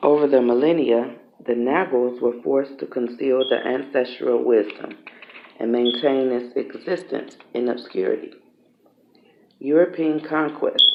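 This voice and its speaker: Against noticeable background noise, a soft-spoken man with a fairly high voice talks at a moderate pace with ordinary pitch variation. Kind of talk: ASMR book reading, read aloud.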